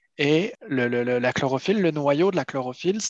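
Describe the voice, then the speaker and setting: A man with a plain, everyday voice talks at a fairly quick pace in a medium pitch with ordinary pitch variation, in a dry, close sound with no echo. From France, Paris region and Brittany. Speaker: seaweed harvester and entrepreneur. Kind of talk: interview.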